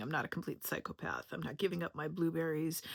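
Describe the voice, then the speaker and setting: Vocal fry marks this woman's voice, captured in a very clean recording with a silent background and a dry, close sound with no echo. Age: 50s. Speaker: health educator and content creator. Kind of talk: personal introduction video monologue. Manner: casual, conversational.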